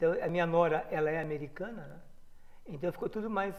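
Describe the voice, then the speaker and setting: A man with a high pitch talks at a fairly quick pace, his loudness swinging widely. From Rio Claro, São Paulo state, Brazil. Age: 60s. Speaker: former footballer and coach. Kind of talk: interview.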